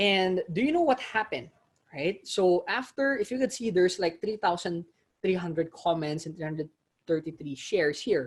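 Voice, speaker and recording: A man speaks in a high voice with an animated tone. His intonation is lively. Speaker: online marketing coach. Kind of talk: live webinar.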